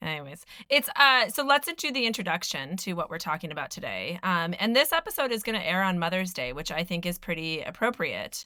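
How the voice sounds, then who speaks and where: A woman with an American accent talks at a fairly quick pace with hardly any pauses, using a medium pitch, very wide pitch swings and a bright, sharp tone. The recording is very clean, with a silent background. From US Northeast, Philadelphia. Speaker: podcast host. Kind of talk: casual chat.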